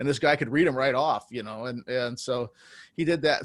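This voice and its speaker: A man with an American accent, a plain, everyday voice, medium pitch and ordinary pitch variation, at a moderate pace on a very clean recording against a silent background. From California, US. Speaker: jazz musician. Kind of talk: interview.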